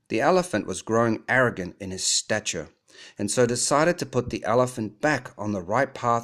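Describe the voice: This plain reading aloud shows ordinary pitch variation.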